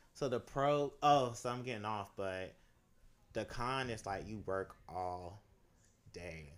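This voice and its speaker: Lively in intonation, a man with a fairly low pitch speaks at a very slow pace, broken by long, frequent pauses. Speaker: costume designer. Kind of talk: casual chat. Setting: home studio.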